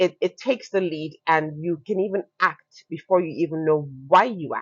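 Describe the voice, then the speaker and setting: A woman speaks in a Nigerian accent with a fairly low pitch. Her tone is animated, and her pitch varies an ordinary amount. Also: moderate pace. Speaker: fashion entrepreneur. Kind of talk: podcast interview. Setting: recorded with plants behind them.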